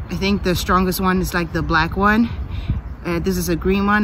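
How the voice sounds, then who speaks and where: At a moderate pace, a woman talks in a dry sound with no echo and light background noise. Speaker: footballer giving a workout tutorial. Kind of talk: tutorial. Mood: relaxed, upbeat. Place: forest. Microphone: phone near.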